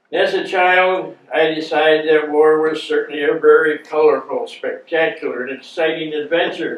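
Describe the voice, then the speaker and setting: A man with an American accent at a moderate pace, noticeable background noise behind him. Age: 80s+. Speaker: war veteran. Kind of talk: talk reading from notes.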